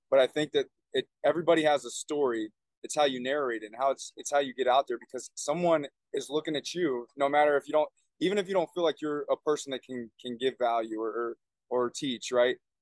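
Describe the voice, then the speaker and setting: A man speaks in a fairly high pitch. It is a plain, everyday voice with ordinary pitch variation. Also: fairly quick pace, dry, close sound with no echo. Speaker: podcast host and men's coach. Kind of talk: casual interview. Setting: remote call.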